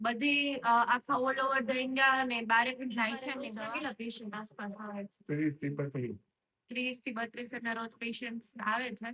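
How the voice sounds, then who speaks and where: A woman's bright, sharp tone at a fairly high pitch, with ordinary pitch variation. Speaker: medical student. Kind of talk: interviewer asking questions.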